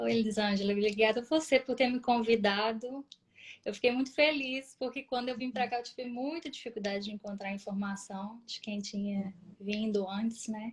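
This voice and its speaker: A woman speaks at a moderate pace in a fairly high, somewhat breathy voice with fairly even intonation. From Brazil, Minas Gerais (Vespasiano, Belo Horizonte area). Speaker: nurse. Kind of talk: interview.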